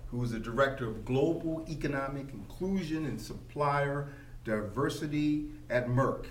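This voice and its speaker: Noticeable background noise sits behind the recording. A man speaks in a fairly high pitch. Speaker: podcast host. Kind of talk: interview. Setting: at a business convention. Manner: formal.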